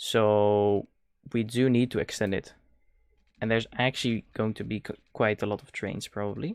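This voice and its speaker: A man with a Dutch accent speaks at a moderate pace and a fairly low pitch with fairly even intonation and big swings in loudness, in a very clean recording with a silent background and a dry, close sound with no echo. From Netherlands. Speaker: video game streamer. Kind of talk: live-stream gameplay commentary. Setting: live stream. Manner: hesitant, with many fillers.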